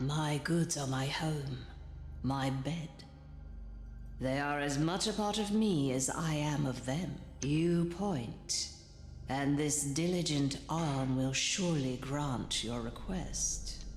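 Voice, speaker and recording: A put-on character voice, low-to-middle in pitch, moves at a very slow pace over clear background noise with slight echo. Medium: video game. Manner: sensual, enticing.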